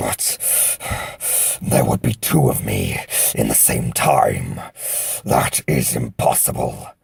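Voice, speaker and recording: A man uses a put-on character voice, very deep and low, with hissing and growling. He speaks fairly slowly with long, frequent pauses, and the sound is dry and close with no echo. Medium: audio drama. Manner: growling, hissing, proud.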